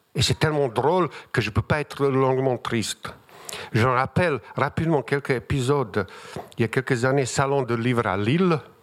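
A man speaks in a strong Bosnian accent at medium pitch. His pace is moderate and his pitch variation ordinary. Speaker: writer. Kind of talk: literary panel discussion. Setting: stage with audience. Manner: humorous.

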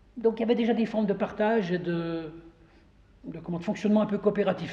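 A man with a high pitch talks fairly quickly, his pitch varying in an ordinary way. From Saint-Claude, Jura, France. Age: 60s. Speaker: local association member and tour guide. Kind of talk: guided tour with historical explanation. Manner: hesitant, many repetitions.

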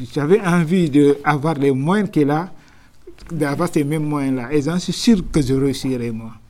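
A man's fairly high voice with a dark, mellow tone, very slow, with ordinary pitch variation. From Senegal, Dakar. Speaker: taxi driver. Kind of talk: interview. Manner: halting.

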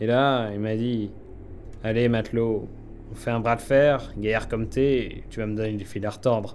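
A man speaks at a fairly slow pace and medium pitch in an anxious tone. His intonation stays monotone and flat. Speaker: young submarine mechanic character. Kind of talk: scripted audio drama, in-character dialogue. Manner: halting, anxious, hesitant with fillers and repeated apologies.

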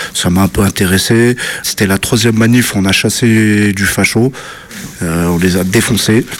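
Over noticeable background noise, a man speaks at a fairly slow pace, fairly low in pitch, with very even loudness and fairly even intonation. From French suburbs (banlieue). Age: 30s. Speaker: antifascist activist. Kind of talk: interview testimony.

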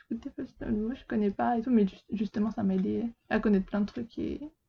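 This is a woman's voice at medium pitch. It sounds somewhat breathy. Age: 20s. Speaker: apprentice bookseller. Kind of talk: casual chat.

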